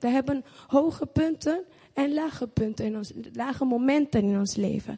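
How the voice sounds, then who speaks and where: A woman is speaking here. Her voice is high, and her pace is fairly slow. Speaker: church member. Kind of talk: testimony. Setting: church with audience.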